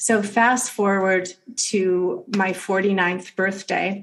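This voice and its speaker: Her intonation fairly even, a woman speaks at medium pitch. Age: 60s. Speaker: yoga teacher. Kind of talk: interview.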